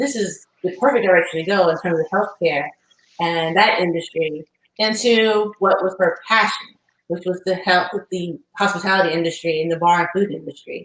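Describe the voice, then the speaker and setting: With an American accent, a woman speaks in a plain, everyday voice at medium pitch, keeping a moderate pace and ordinary pitch variation. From US South (Alabama). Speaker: podcast host, subscription box founder. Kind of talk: interview.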